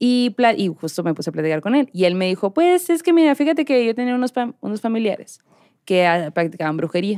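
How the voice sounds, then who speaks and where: Fairly quick and with very wide pitch swings, a woman speaks at a medium pitch with a dark, mellow tone against a quiet background. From Mexico, Hermosillo (Sonora); Sonora, Mexico. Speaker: podcast host. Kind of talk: storytelling. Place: studio. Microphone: studio mic.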